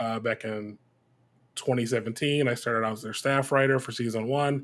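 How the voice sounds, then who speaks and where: Speaking at a fairly slow pace with an American accent, a man of medium pitch has an unremarkable speaking voice. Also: very clean recording, silent background. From US Midwest, Detroit, Michigan. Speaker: TV head writer and voice actor. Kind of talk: interview.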